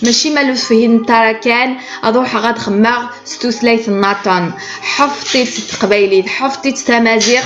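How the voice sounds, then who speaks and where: Amid audible room echo and noticeable background noise, a woman with an Algerian accent speaks very slowly in a fairly high voice. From Kabylie, Algeria. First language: Kabyle (speaking French). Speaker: cooking vlogger. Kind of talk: direct address to viewers, appeal. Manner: emphatic, repetitive.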